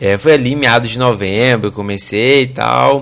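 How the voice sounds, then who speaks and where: This man talks at a medium pitch. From Brazil. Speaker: podcast host. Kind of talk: casual monologue; explanatory talk. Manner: animated.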